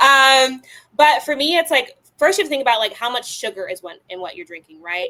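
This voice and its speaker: Speaking in a raised, projected voice with an American accent, a woman talks at a fairly quick pace, her high pitch taking very wide swings, her tone bright and sharp, and her loudness swinging widely. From Chicago, South Side. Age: 20s. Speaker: tequila brand founder. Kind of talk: interview.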